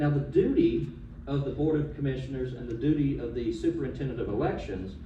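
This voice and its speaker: In a Southern US accent, a man with fairly high pitch and ordinary pitch variation speaks amid audible room echo. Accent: Southern US (Georgia). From US South, Georgia (Coweta County). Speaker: attorney speaking at public comment. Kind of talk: public comment at a county commission meeting. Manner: formal; some stumbles and repeated words.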